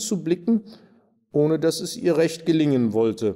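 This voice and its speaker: With a dark, mellow tone and lively intonation, the voice moves at a moderate pace against a quiet background. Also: man. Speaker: actor. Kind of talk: reading aloud. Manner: formal. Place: stage.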